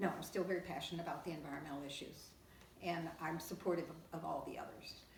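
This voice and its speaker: Noticeable background noise sits under a woman's fairly low voice. She speaks at a very fast pace with monotone, flat intonation. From Kentucky. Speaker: League of Women Voters lifetime member. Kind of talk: oral history interview answer.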